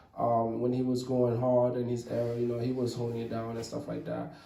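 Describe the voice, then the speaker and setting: The speaker has a Haitian accent. Audible room echo surrounds the voice. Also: man. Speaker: rapper. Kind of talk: casual interview. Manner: halting.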